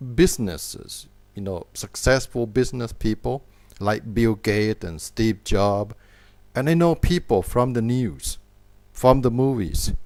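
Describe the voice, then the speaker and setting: A man at medium pitch with a Thai accent, lively intonation and a fairly slow pace, on a very clean recording with a silent background. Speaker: English teacher. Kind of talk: tutorial. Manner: slow, clear.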